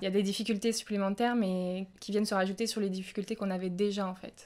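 Her delivery stays monotone and flat, pitched in the medium range for a woman. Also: very clean recording, silent background. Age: 20s. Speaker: nurse. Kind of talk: testimony. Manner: halting, with frequent fillers.

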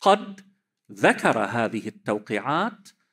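A man talks at a very slow pace, his pitch swinging very widely. The background is quiet. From Lebanon. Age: 50s. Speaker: cleric and seminary teacher; seminary teacher. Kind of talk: religious lecture. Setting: conference with audience. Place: hall. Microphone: podium.

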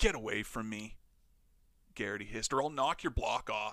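Using a put-on character voice with hissing, a man speaks at a moderate pace, medium pitch, and ordinary pitch variation. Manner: hissed, low and threatening.

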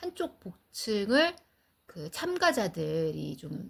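A woman speaks in a somewhat breathy voice. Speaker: cancer patient and podcast host. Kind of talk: casual chat. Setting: outdoors, walking in a park.

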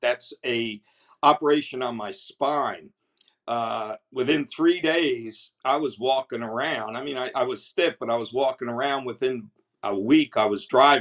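A man with a New Jersey accent at a fairly slow pace, with ordinary pitch variation and a quiet background. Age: 70s. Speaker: customer giving product testimonial. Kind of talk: product testimonial to camera. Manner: enthusiastic, hesitant. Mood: enthusiastic, grateful. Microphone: webcam.

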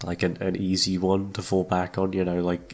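A man speaks with a British accent in a very deep, low pitch. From United Kingdom. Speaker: ASMR voice actor. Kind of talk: casual chat. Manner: halting.

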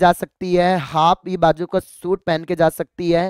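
In a very clean recording with a silent background and a dry, close sound with no echo, a man speaks at a high pitch. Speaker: teacher. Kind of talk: tutorial.

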